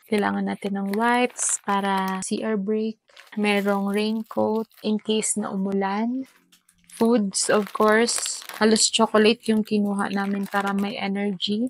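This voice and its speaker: Her medium-pitched voice stays monotone and flat, and the woman's recording sounds dry and close with no echo. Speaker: travel vlogger. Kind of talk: travel vlog narration. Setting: shared room at homestay. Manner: quiet, lowered voice.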